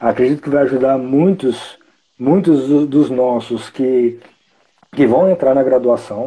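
Delivered at a fairly slow pace, the speech carries a dark, mellow tone. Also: man. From Brazil, Espírito Santo (Vitória area). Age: 20s. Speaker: podcast host, psychology student. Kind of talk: casual interview. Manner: halting, many fillers.

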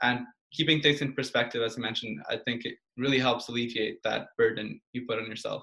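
Here is a man with an ordinary speaking voice at a medium pitch. He talks at a fairly quick pace with fairly even intonation. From Portugal, Belgium and Canada. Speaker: university student. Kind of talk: casual interview.

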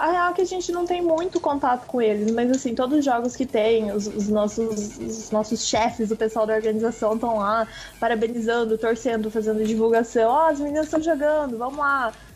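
This woman, pitched fairly high, keeps a moderate pace and ordinary pitch variation while noticeable background noise fills the clip. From Mato Grosso, Brazil. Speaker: professional esports player. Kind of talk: casual radio interview.

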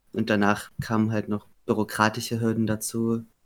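His intonation stays monotone and flat. The man's pitch sits fairly low. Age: 20s. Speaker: podcast guest. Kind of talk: interview. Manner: hesitant.

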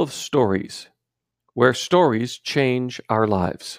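At a very slow pace, a man with a warm tone and medium pitch is heard on a very clean recording with a silent background and a dry, close sound with no echo. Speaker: podcast storyteller. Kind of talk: storytelling narration, fable-like read-aloud. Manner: measured, warm, gently paced storyteller cadence; earnest and clear, with a moral-tale tone.

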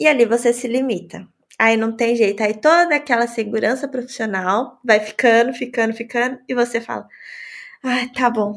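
A woman talks at a moderate pace in a normal speaking voice, fairly high in pitch with fairly even intonation. The recording is very clean, with a silent background. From Brazil, São Paulo. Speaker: nurse and podcaster. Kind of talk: casual chat.

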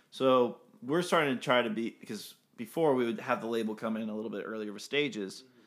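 A man talks in an ordinary speaking voice at a fairly quick pace. His pitch sits in the medium range with ordinary variation. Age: 20s. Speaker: band musician. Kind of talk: casual interview chat.

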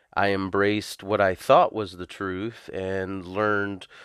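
Very slowly and in a flat monotone, a man speaks at a fairly low pitch in a very clean recording with a silent background. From US South. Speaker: pastor. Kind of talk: testimony.

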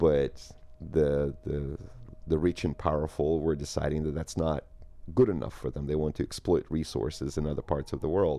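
In a very deep, low pitch, a man speaks with a dark, mellow tone and vocal fry. His pace is moderate and his intonation fairly even. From Soviet Union, Moscow and Ukraine. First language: Russian. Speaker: poet and poetry event organizer. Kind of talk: casual interview.

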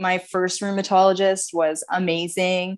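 Against a quiet background, a plain, everyday voice talks at a fairly slow pace. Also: woman. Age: 30s. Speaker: dancer and dance teacher. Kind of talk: casual interview.

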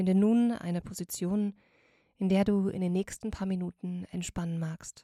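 Calm and somewhat breathy, a woman speaks at medium pitch in a dark, mellow tone, at a fairly slow pace with fairly even intonation, in a dry, close sound with no echo on a very clean recording with a silent background. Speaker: meditation guide. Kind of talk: guided meditation, soothing. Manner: slow, soft-spoken, calm with long pauses; gentle, warm, soothing.

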